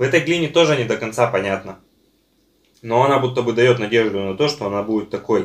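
Very fast delivery from a man, broken by long, frequent pauses, with ordinary pitch variation. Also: quiet background. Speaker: online seller and video blogger reviewing edible clay and chalk. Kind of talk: casual product review video while tasting. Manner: relaxed, with many fillers. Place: home room. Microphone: phone near.

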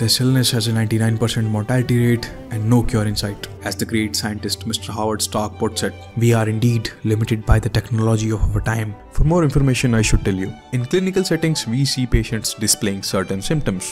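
With music in the background, a man at a medium pitch talks at a fairly quick pace, with hardly any pauses and ordinary pitch variation. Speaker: weightlifting video creator. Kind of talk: humorous voice-over narration.

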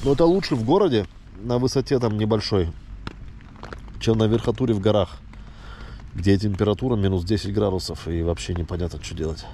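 A man's fairly low voice broken by long, frequent pauses, with noticeable background noise. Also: lively intonation, fairly quick pace. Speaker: hiking vlogger. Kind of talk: casual vlog narration while hiking. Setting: outdoors, mountain trail. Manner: casual, halting.

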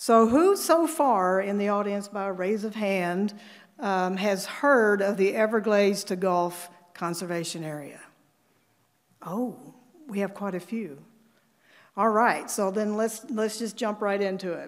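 A woman talks at a fairly slow pace with ordinary pitch variation against a quiet background. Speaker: climate scientist; conference presenter. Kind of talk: conference presentation. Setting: stage with audience. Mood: enthusiastic. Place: hall.

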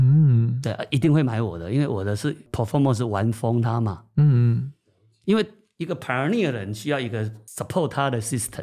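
The voice is a man's, an unremarkable speaking voice at medium pitch. His pace is moderate and his pitch variation ordinary. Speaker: company chairman. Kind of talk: interview.

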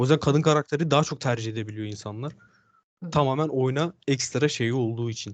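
A man speaks at a fairly quick pace in a medium pitch with ordinary pitch variation. His is a normal speaking voice, set against a quiet background. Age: 20s. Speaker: gamer. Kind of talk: interview.

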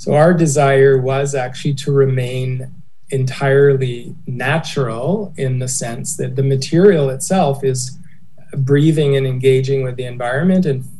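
At a fairly slow pace, a man speaks with medium pitch and fairly even intonation.

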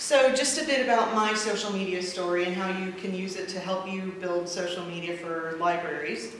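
With an American accent, a woman speaks at a fairly low pitch and moderate pace with fairly even intonation, amid strong room echo and clear background noise.

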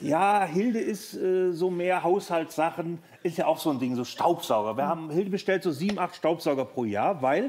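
A man at a moderate pace with hardly any pauses and lively intonation, over light background noise. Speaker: comedian talk show guest. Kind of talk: interview answer, comedic storytelling. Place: studio. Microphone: headset.

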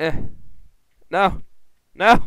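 A man is shouting, and his voice is loud. The sound is dry with no echo, over a quiet background. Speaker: gaming YouTuber. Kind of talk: gameplay commentary, angry rant. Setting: home recording, gameplay video. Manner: animated, loud, excitable, swearing; frustrated, shouting and cursing in short bursts. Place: home room. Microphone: headset.

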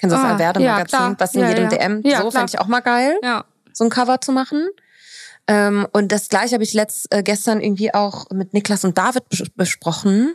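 Against a quiet background, a woman talks at a fairly quick pace in a fairly high voice, with ordinary pitch variation and very even loudness. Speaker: podcast host. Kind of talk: casual podcast conversation. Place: home room. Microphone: studio mic.

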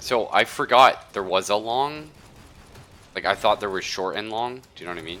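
A man speaks with a fairly low pitch. Light background noise can be heard. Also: big swings in loudness. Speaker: gaming streamer. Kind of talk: casual gaming chat. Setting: live stream with online voice chat. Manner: rambling, lots of filler words.

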